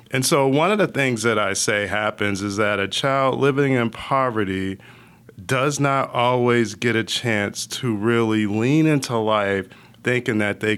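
A man's normal speaking voice with an American accent, medium in pitch, fairly slow, with very even loudness and ordinary pitch variation. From Connecticut, Hartford area. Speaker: nonprofit executive. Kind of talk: interview.

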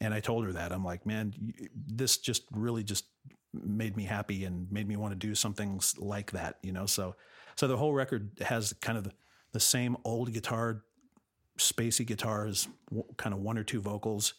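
At a moderate pace, an unremarkable speaking voice talks with fairly even intonation. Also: man, fairly low pitch for a man. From Los Angeles, California. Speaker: musician and film composer. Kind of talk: interview. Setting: remote recording from home studio.

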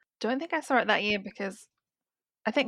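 The speaker has a slight South Australian accent, heard over a quiet background with a dry, close sound and no echo. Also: woman. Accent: South Australian, slight British-like. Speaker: guest. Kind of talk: casual chat.

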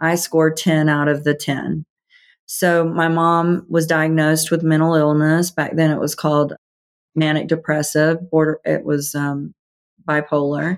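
On a very clean recording with a silent background, a woman speaks at a very deep, low pitch in a flat monotone, her loudness very even. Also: fairly slow pace. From US South. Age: 50s. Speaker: author and healing coach. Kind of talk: interview.

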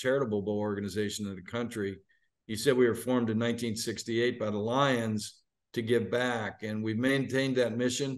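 A man talks with an American accent at a fairly quick pace, in an unremarkable speaking voice of medium pitch. His intonation is fairly even, and the background is quiet. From Pittsburgh, western Pennsylvania. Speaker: bowl game executive. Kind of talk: interview.

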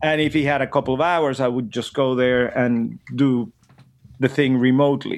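Speaking with a Venezuelan accent, a man keeps a medium pitch, monotone, flat intonation and very even loudness at a moderate pace. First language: Spanish. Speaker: drummer and educator. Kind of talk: casual interview chat.

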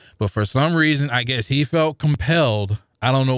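A man with an American accent speaks in an unremarkable speaking voice at a moderate pace, with ordinary pitch variation, on a very clean recording with a silent background. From US Midwest, St. Louis. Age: 40s. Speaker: podcast listener guest. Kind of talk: casual interview. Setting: studio.

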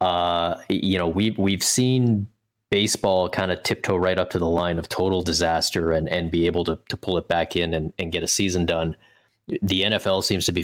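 A man with a very deep, low pitch, very even loudness and fairly even intonation, in a very clean recording with a silent background. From Canada. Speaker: hockey writer. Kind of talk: casual interview chat.

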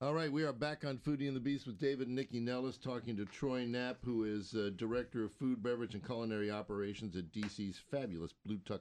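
A man talks at a very fast pace with hardly any pauses, in a medium pitch with ordinary pitch variation. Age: 60s. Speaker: food radio co-host. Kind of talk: casual chat. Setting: studio.

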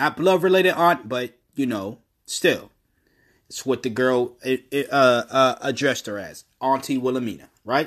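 In a very clean recording with a silent background, a man with a plain, everyday voice talks at a fairly slow pace, with medium pitch and ordinary pitch variation. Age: 20s. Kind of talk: casual monologue.

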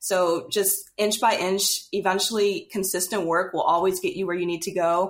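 A woman with an American accent has an unremarkable speaking voice and talks at a moderate pace. The recording is very clean, with a silent background. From US South, Louisiana. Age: 20s. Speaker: young adult novelist. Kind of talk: casual interview.

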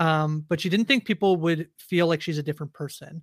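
A woman has an unremarkable speaking voice with a Canadian accent, fairly low pitch and fairly quick pace, recorded very cleanly with a silent background and a dry, close sound with no echo. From Canada. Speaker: podcast host. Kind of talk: casual chat.

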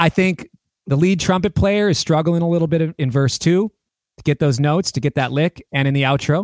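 A man with an American accent and a plain, everyday voice, fairly high in pitch, with ordinary pitch variation, a fairly quick pace, very even loudness and a dry, close sound with no echo. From Minneapolis, US Midwest. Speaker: guitarist and songwriter. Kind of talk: casual interview chat.

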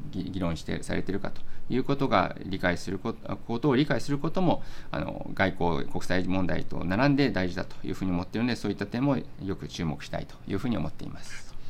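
Fairly low male voice at a fairly quick pace, lively in intonation, over noticeable background noise. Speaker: diplomat. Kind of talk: interview.

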